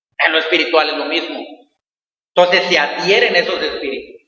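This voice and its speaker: A man talks with audible room echo. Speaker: pastor. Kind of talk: sermon. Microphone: echo in closed room.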